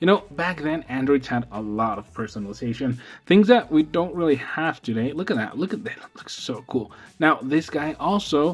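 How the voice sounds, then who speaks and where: Over music in the background, a man with a non-native accent speaks at a moderate pace with a fairly high pitch and lively intonation. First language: not English. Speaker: tech YouTuber. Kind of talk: product review. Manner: casual, filler-heavy.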